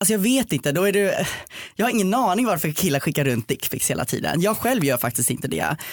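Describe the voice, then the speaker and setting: A man's high-pitched voice at a very fast pace, with very wide pitch swings. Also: very even loudness, very clean recording, silent background. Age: 20s. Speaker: podcast guest. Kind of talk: casual chat. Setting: studio.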